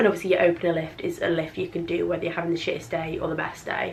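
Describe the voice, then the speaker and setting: A woman with an English accent talks at a fairly quick pace in a fairly low pitch, with noticeable background noise and audible room echo. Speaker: vlogger. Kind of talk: casual vlog talk. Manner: fast, rambling.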